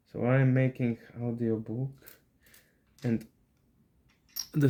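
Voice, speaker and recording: At a fairly slow pace, a man speaks at a medium pitch in a dark, mellow tone. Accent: Slovak. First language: Slovak. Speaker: YouTuber building lego sets. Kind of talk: casual chat. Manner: halting.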